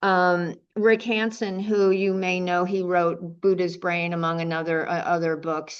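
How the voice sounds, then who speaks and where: At a fairly slow pace, a woman speaks at medium pitch with ordinary pitch variation against a quiet background. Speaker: meditation teacher. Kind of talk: dharma talk. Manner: halting; projects to the room.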